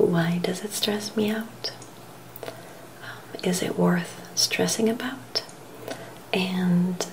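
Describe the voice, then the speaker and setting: A woman is whispering. Her tone is calm. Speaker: vlogger giving self-help tips. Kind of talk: casual vlog chat. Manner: soft-spoken, slow, calm quiet voice. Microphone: webcam.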